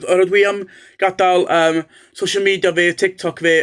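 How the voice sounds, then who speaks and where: A man talks at a fairly slow pace. His intonation is fairly even. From North Wales. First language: Welsh. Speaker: Welsh language tutor. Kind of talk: casual channel introduction. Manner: hesitant with many fillers.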